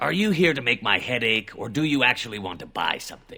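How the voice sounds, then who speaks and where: A man puts on a raspy character voice at a medium pitch, racing along very fast with very wide pitch swings and big jumps in loudness. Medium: video game. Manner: testy, self-justifying.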